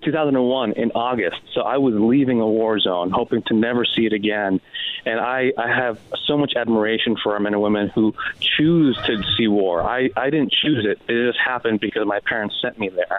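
An American-accented man speaks at medium pitch and moderate pace with ordinary pitch variation. His loudness is very even, with noticeable background noise. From San Diego East County, California. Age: 30s. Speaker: congressional candidate. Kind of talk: interview.

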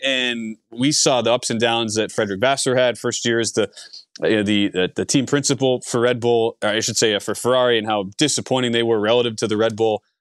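Dry and close with no echo, a man's medium-pitched voice runs at a fairly quick pace with an animated tone. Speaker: podcast host. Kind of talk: casual chat. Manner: animated, casual with filler words.

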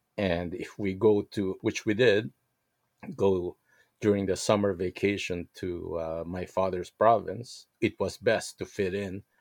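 Recorded very cleanly with a silent background and a dry, close sound with no echo, a man speaks at a fairly slow pace. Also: fairly low pitch for a man, fairly even intonation. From Philippines, Manila. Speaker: interviewee, guest's father. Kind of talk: interview. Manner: hesitant with frequent fillers.

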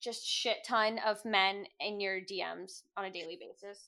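A woman's bright, sharp tone at a fairly slow pace, in a very clean recording with a silent background. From Cuban-American family. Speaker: podcast host. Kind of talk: casual chat.

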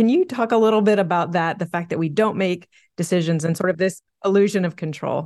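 A woman speaks at a fairly low pitch with ordinary pitch variation. She has a plain, everyday voice. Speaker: podcast co-host interviewer. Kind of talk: interview conversation.

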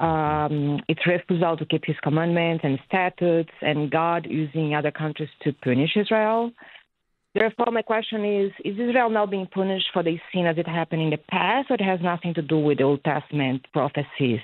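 A woman with a plain, everyday voice speaks at a fairly quick pace in a fairly low pitch, her intonation lively and her loudness very even. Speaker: caller. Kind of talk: radio call-in question. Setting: phone call.

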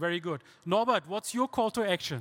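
A man with a German accent talks in a very clean recording with a silent background and a dry, close sound that has no echo. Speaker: podcast host and panel moderator. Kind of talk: live panel discussion. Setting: stage with live audience.

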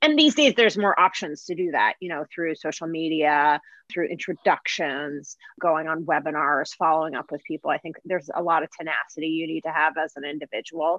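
A woman speaks in a very deep, low pitch. Behind her the background is quiet. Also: fairly quick pace. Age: 30s. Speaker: marketing agency executive. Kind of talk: interview.

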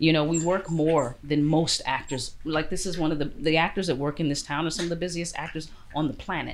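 Audible room echo carries a woman's very deep, low voice as she speaks at a fairly quick pace in a Chicago accent. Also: fairly even intonation. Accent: Chicago American. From US, Chicago South Side. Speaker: actor. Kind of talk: interview.

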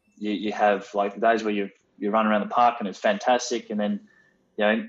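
In an Australian accent, a man talks with a fairly low pitch. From Western Australia. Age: 20s. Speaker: business owner, former footballer. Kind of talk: interview. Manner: hesitant, many fillers.

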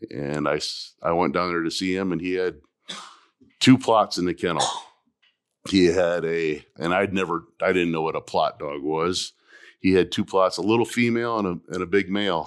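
Very deep and low in pitch, a man with an American accent talks at a moderate pace with ordinary pitch variation in a very clean recording with a silent background. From Ohio. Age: 60s. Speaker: farmer and dog breeder. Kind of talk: casual interview. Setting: live recording at a dog event.

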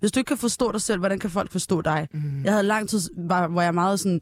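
A woman speaks in a normal speaking voice at medium pitch. Her pitch varies in an ordinary way, and her pace is moderate. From northern Ethiopia, adopted to Denmark at 8. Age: 20s. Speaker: singer, talent show contestant. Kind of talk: casual chat.

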